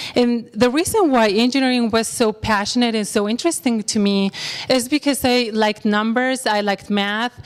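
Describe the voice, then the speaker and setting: In a Spanish accent, a woman speaks at a moderate pace with a fairly high pitch. Her pitch varies in an ordinary way. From Mexico. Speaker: bank employee. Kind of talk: career talk.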